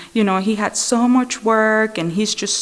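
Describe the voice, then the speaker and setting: Over noticeable background noise, a woman with a non-native accent speaks at a fairly high pitch. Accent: foreign. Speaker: Al-Anon speaker. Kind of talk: recovery testimony. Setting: speaker meeting with audience. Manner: conversational, many fillers.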